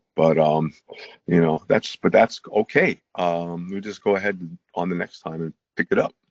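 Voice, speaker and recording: In a dry, close sound with no echo, a man with a very deep, low pitch speaks at a moderate pace with fairly even intonation. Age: 70s. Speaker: chiropractor doctor. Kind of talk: testimonial interview. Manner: casual, hesitant with filler words.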